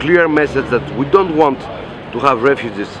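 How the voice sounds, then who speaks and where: A man speaks with crowd noise in the background. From Greece. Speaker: anarchist activist. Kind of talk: interview. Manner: halting, many fillers and repetitions.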